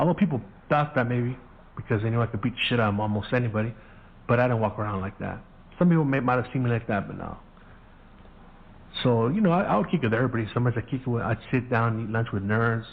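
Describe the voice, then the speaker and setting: A man talks at a very fast pace, somewhat breathy, with long, frequent pauses. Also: medium pitch for a man, ordinary pitch variation. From US, Mexican-American family. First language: Spanish. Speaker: podcast host. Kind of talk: casual storytelling monologue.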